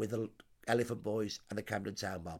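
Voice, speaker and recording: On a very clean recording with a silent background, a man speaks with a Brummie accent. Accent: Birmingham (Brummie). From Birmingham, England. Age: 60s. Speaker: social historian. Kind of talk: interview. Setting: at the host's home.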